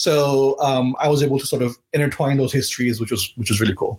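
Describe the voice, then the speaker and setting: A man talks at a very fast pace. His voice is somewhat breathy, with fairly even intonation. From Pakistan, Karachi. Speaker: novelist and attorney. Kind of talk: author interview at live webcast event. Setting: live webcast.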